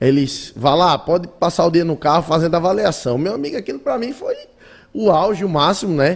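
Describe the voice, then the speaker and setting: Speaking at a fairly quick pace, a man talks in a high voice. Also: lively intonation. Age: 20s. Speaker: automotive content creator and radio host. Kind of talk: casual interview.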